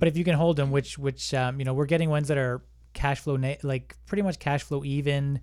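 An unremarkable speaking voice with a Canadian accent moves at a fairly quick pace with fairly even intonation, on a very clean recording with a silent background. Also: man, fairly high pitch for a man. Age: 30s. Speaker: online business owner, real estate investor. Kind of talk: casual interview chat.

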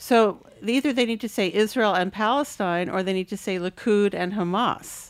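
A woman's plain, everyday voice at medium pitch, moderate pace, hardly any pauses and ordinary pitch variation, on a very clean recording with a silent background. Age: 50s. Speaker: author and writing professor. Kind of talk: casual chat.

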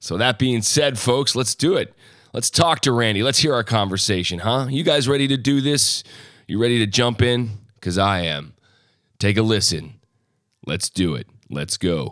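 A man's medium-pitched voice with vocal fry, lively intonation, a moderate pace and long, frequent pauses. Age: 40s. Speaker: podcast host. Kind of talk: casual chat.

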